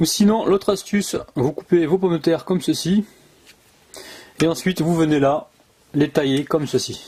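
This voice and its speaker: A man with a southwestern French accent speaks at a high pitch and a moderate pace, with ordinary pitch variation and very even loudness. He leaves long, frequent pauses, and there is noticeable background noise. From southwest France (Gers). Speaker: cooking video host. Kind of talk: cooking tutorial. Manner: animated.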